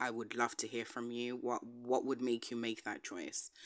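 A woman talks at a fairly quick pace with a very deep, low pitch and a bright, sharp tone. The recording is very clean, with a silent background. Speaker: podcast host. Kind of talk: solo monologue podcast. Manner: halting, many fillers and repetitions.

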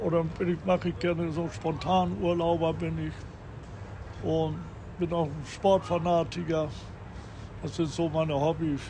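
Over audible room echo, a man talks fairly slowly in a dark, mellow tone with ordinary pitch variation. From North Frisia, northern Germany (Tönning). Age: 80s+. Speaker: restaurateur. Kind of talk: interview. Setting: on location on Sylt.

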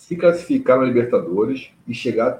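At a moderate pace, a man speaks in a dark, mellow tone that is somewhat breathy, with ordinary pitch variation. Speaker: football podcast host. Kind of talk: casual chat.

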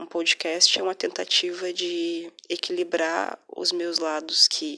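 This voice has a bright, sharp tone and a very slow pace. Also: woman. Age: 20s. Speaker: podcaster. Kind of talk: personal monologue. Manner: soft-spoken.

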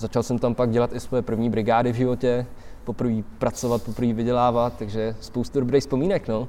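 A man speaks in a dark, mellow tone. He talks at a fairly quick pace with fairly even intonation. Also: medium pitch for a man. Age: 20s. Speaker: skateboarder. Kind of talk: casual interview chat. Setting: outdoors under a bridge in winter.

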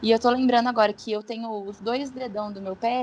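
At a moderate pace, a woman speaks in a normal speaking voice. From São Paulo state interior, Brazil. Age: 20s. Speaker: physiotherapist. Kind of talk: casual chat.

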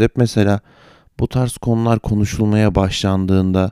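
A man's fairly low, dark, mellow voice at a very slow pace, in a very clean recording with a silent background. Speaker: podcast host. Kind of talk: satirical monologue. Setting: hotel room.

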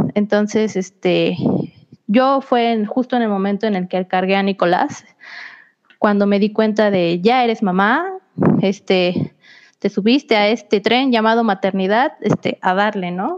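Using a normal speaking voice, a woman talks at medium pitch and a fairly slow pace with ordinary pitch variation. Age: 20s. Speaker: young mother sharing parenting experience. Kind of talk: casual interview chat.

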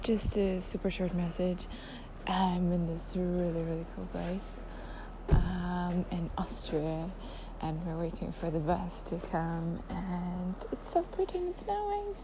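Very slow, monotone, flat delivery from a woman with a fairly low pitch, amid noticeable background noise and audible room echo. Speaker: podcaster. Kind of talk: casual monologue voice memo. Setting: outdoors at a station in snow. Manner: hesitant, many fillers and laughs.

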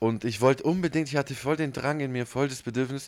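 On a very clean recording with a silent background, a man speaks fairly quickly with ordinary pitch variation. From southern Germany (Ulm, Swabia). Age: 30s. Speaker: podcast co-host. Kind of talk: casual chat. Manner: animated.

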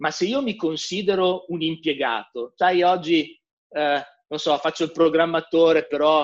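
Ordinary pitch variation from a man at a fairly slow pace. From northern Italy, Milan. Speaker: software developer. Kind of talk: interview. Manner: animated.

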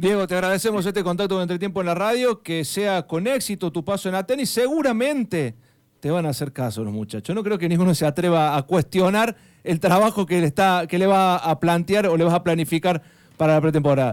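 Very fast and high-pitched, a man speaks with lively intonation in a very clean recording with a silent background. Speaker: radio sports host. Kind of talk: radio interview.

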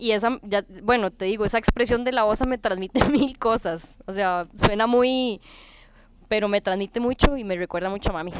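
A woman's fairly high voice, a normal speaking voice at a moderate pace, with ordinary pitch variation. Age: 30s. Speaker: tattoo client. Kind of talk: casual chat.

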